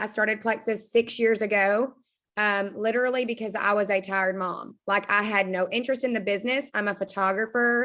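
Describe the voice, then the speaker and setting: Fairly high in pitch and bright and sharp in tone, a woman speaks with an Arkansas accent at a fairly quick pace. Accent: Arkansas Southern. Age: 20s. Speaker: direct sales team leader. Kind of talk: motivational talk on a team call. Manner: animated.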